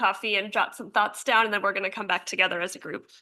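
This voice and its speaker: At a very fast pace, a woman talks with a bright, sharp tone and fairly high pitch over a quiet background. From New York. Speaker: geriatrician. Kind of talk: lecture. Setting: lecture hall.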